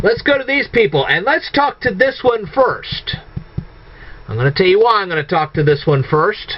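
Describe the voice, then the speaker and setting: A man speaks with very wide pitch swings. Noticeable background noise sits behind him. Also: moderate pace. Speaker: video blogger. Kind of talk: monologue rant to viewers. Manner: halting, self-correcting.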